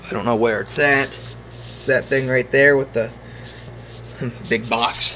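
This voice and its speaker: With noticeable background noise behind him, a man speaks at a fairly slow pace, with long, frequent pauses. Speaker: gaming setup vlogger. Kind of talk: casual chat.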